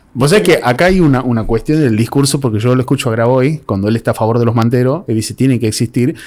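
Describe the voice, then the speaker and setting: In a Tucumán accent, a man talks at a very fast pace with a dark, mellow tone, medium pitch and ordinary pitch variation, captured on a very clean recording with a silent background. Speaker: podcast host. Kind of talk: casual interview.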